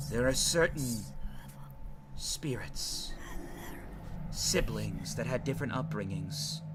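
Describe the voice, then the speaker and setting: A man speaks in a put-on character voice at a fairly slow pace. Loud background noise runs underneath. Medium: actual play. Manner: earnest, measured.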